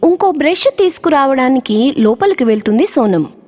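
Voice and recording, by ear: Dry and close with no echo, a woman's high voice has a slightly mellow tone and big pitch swings.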